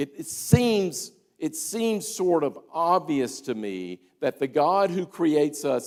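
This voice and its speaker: A man with an American accent and very wide pitch swings, on a very clean recording with a silent background. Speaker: history teacher giving a lecture. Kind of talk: lecture. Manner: animated, enthusiastic; conversational with many fillers and repetitions.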